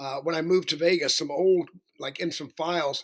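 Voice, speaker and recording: In a Southern US accent, a man talks at a fairly quick pace. His pitch is fairly high and his intonation fairly even. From US South (Alabama). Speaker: professional singer. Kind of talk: interview.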